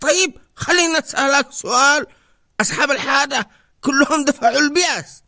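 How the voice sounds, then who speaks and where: Using a cartoonish character voice, a man projects loudly at an extremely high pitch and a fairly slow pace. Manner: animated, teasing.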